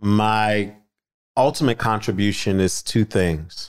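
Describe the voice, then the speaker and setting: Using ordinary pitch variation, a man with an American accent talks at a fairly low pitch. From Philadelphia, US. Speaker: author, activist and minister. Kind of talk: casual interview chat.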